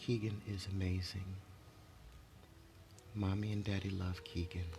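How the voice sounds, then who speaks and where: A man whispers at a fairly slow pace. There is noticeable background noise and audible room echo. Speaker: motivational vlogger. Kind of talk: motivational monologue. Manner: whispering.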